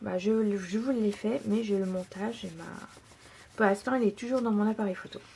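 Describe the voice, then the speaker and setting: Over noticeable background noise, a woman speaks at a moderate pace, her medium pitch showing ordinary variation. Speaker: scrapbooking tutorial maker. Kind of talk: tutorial. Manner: hesitant, many fillers.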